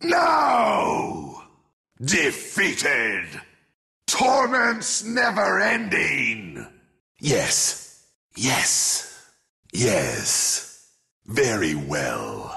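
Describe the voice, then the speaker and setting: A man's raspy, put-on character voice at a very slow pace. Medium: video game. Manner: menacing, sinister, disdainful.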